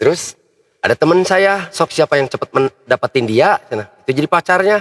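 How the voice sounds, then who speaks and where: Speaking fairly fast, a man uses a high-pitched voice. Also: lively intonation, dry, close sound with no echo. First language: Sundanese (speaking Indonesian). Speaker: local public figure and athlete. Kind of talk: casual chat.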